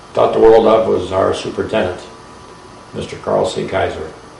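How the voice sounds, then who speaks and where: A man with an American accent speaks at a moderate pace. Audible room echo and noticeable background noise surround his voice. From northeast Ohio (Champion, near Warren). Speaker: war veteran. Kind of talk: oral history interview.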